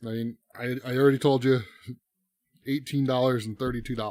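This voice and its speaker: Medium in pitch, a man talks with fairly even intonation. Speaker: streamer giving a tech tutorial. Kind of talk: tutorial. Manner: casual, hesitant with repeated words. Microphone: cheap XLR mic via audio interface.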